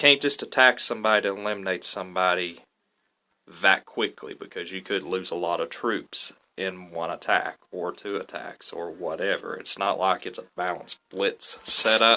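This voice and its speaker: A man with a Southern US accent at a moderate pace, with big swings in loudness against a quiet background. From US South, Tennessee. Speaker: gaming YouTuber. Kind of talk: gameplay commentary. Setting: playing online game while recording. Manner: casual, chatty.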